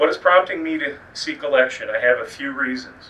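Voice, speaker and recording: Against noticeable background noise, a man with a Midwestern American accent speaks at a fairly quick pace. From Indiana. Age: 50s. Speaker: political candidate. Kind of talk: campaign speech.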